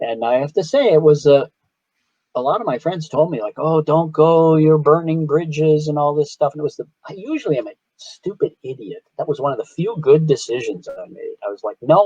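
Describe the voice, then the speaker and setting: A man with an American accent speaks at a fairly quick pace in a fairly high pitch, with a dark, mellow tone and ordinary pitch variation. His loudness swings widely, and the sound is dry and close with no echo. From Chicago, US Midwest. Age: 60s. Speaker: artist and art lecturer. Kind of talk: interview. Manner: halting.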